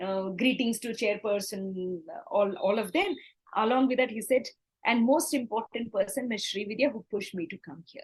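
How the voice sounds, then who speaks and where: Speaking in an Indian accent, a woman with a somewhat breathy, fairly high voice talks at a moderate pace. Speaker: corporate trainer and speaker. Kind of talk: interview storytelling. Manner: animated; halting.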